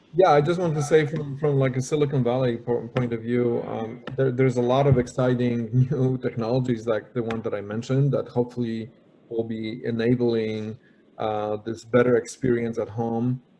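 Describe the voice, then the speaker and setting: The speaker has a Polish accent and a dark, mellow tone. The pace is moderate and the intonation fairly even. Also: man, medium pitch for a man. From Poland. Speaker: panel moderator. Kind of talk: panel discussion. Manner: halting, many repetitions.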